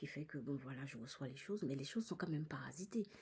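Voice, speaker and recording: This woman talks at a very fast pace in a very deep, low pitch, with a dark, mellow tone, vocal fry, and very wide pitch swings. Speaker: psychic medium vlogger. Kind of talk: personal vlog monologue. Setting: in a cinema. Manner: halting.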